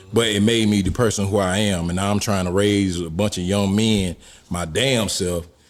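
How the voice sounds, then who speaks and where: A man with an American accent has a plain, everyday voice, fairly low in pitch, at a moderate pace. His intonation is fairly even, and the recording is very clean with a silent background. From Jacksonville, Florida (north side). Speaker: podcast guest. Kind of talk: casual chat.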